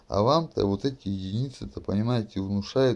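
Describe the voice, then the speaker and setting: His voice has a dark, mellow tone, fairly low pitch and fairly even intonation as the man talks. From Russia, Kurgan region (Shadrinsk); Russia. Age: 30s. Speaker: video blogger. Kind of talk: monologue to camera; casual vlog monologue. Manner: rambling, full of fillers. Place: home room. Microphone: webcam.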